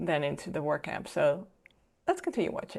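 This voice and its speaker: A woman talks with a Dutch accent. The recording is very clean, with a silent background. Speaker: filmmaker and video reactor. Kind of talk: reaction commentary.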